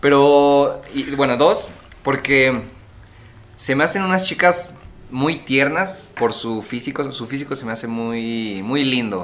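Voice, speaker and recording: Very slow delivery from a man pitched fairly high, with ordinary rises and falls in pitch. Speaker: podcast co-host. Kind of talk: casual chat.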